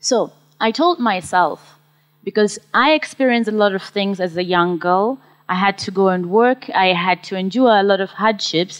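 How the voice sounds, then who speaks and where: Speaking with a Zimbabwean accent, a woman uses a medium pitch and ordinary pitch variation at a moderate pace. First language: Shona. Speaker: social entrepreneur, mushroom farmer. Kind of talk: conference talk.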